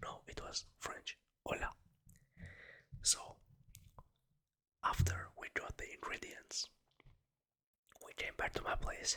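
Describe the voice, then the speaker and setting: The words come out as a whisper at a very slow pace. Long pauses break it up frequently. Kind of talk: ASMR casual talk to camera. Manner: whispered.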